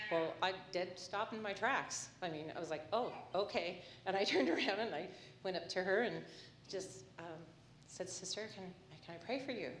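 At a moderate pace and medium pitch, a woman talks with ordinary pitch variation and long, frequent pauses over noticeable background noise. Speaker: churchgoer giving testimony. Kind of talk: testimony.

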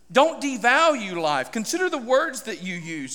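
A man speaks in a raised, projected voice with a bright, sharp tone. His pitch swings very widely at a moderate pace. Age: 40s. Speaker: pastor. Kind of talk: sermon. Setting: church.

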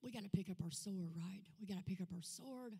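A somewhat breathy woman with an Arkansas accent. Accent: Southern US (Arkansas). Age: 50s. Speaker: guest speaker, ministry leader. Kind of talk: testimony. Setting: church. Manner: animated.

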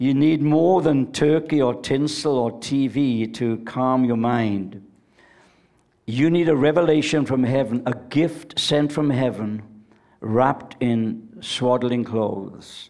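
A man talks at a very slow pace and a medium pitch in a dark, mellow tone, with ordinary pitch variation and very even loudness. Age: 70s. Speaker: preacher. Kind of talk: sermon. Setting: church with audience. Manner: animated.

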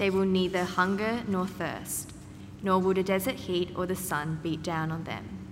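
Using a plain, everyday voice, a woman speaks at a moderate pace and medium pitch with fairly even intonation. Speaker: scripture reader. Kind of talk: reading aloud.

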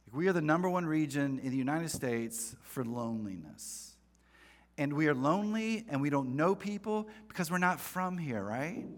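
With an American accent, the speaker moves at a moderate pace while the pitch swings very widely. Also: man, fairly high pitch for a man. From North Carolina, US South. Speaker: pastor. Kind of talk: sermon. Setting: church with congregation. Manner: casual, conversational, humorous.

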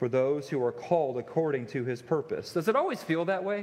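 Lively intonation colors a man's normal speaking voice, which sits at a fairly high pitch. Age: 40s. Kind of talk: sermon. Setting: church.

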